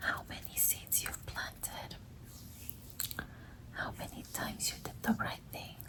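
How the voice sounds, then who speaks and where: Someone whispers at a fairly slow pace, leaving long, frequent pauses. Background noise is noticeable throughout. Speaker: ASMR creator. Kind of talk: ASMR reiki healing guided visualization. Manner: soft-spoken, whispered, slow.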